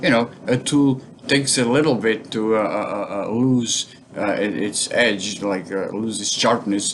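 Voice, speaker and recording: A man speaks in a medium pitch. Noticeable background noise runs behind him. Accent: Portuguese. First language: Portuguese. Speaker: bonsai hobbyist vlogger. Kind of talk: casual vlog talk. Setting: home kitchen. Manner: halting, many fillers.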